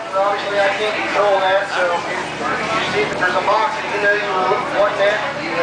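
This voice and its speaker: A man at a very fast pace, with audible room echo and loud background noise. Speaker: auctioneer. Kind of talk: casual talk to the crowd. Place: hall. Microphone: camera far.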